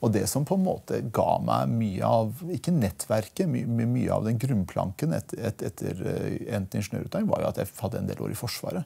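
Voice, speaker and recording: This man talks at a moderate pace with hardly any pauses. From Norway, Porsgrunn (Telemark), from Iran at 8; Norway. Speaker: politician, member of parliament; podcast guest, politician. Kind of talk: interview. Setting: studio. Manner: halting, repeats words. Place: studio. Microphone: lapel.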